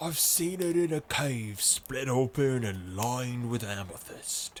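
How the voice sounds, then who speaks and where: A man puts on a husky character voice at a medium pitch, speaking at a fairly slow pace with lively intonation. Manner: revenant, ghostly.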